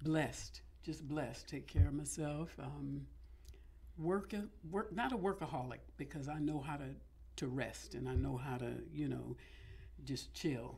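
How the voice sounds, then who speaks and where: With an American accent, a woman speaks at a fairly slow pace with long, frequent pauses, and room echo is audible. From California. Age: 60s. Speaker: actress and voiceover artist. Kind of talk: interview.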